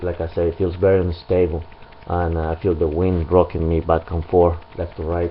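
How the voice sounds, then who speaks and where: At a moderate pace, a man speaks with a very deep, low pitch over light background noise. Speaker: motorcycle owner reviewer. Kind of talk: product review. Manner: hesitant, many fillers. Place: garage. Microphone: camera far.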